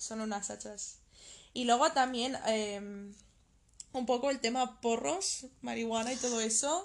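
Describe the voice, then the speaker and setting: Pausing long and often, a woman talks fairly slowly in a high voice with ordinary pitch variation. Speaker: podcast co-host. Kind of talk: casual chat.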